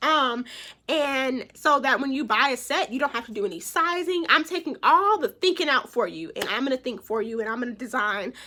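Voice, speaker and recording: A woman sounds animated, her tone bright and sharp and her intonation lively. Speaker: real estate agent and nail tech vlogger. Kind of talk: vlog talk to camera. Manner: fast.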